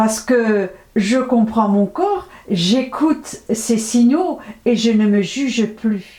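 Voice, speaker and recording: At a very slow pace, a woman speaks with a fairly high pitch and ordinary pitch variation. Her loudness stays very even. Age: 70s. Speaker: natural health vlogger. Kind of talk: health advice monologue to camera.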